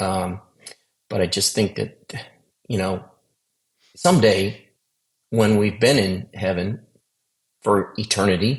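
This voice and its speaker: A man speaks very slowly with long, frequent pauses. His fairly low voice is somewhat breathy, with fairly even intonation. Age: 60s. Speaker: near-death experience survivor. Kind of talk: testimony. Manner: halting, many repeated words.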